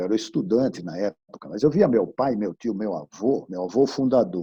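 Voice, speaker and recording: Using lively intonation, a man with a fairly low pitch and a dark, mellow tone speaks at a moderate pace. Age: 60s. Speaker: business executive. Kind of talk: webinar talk. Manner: casual, conversational.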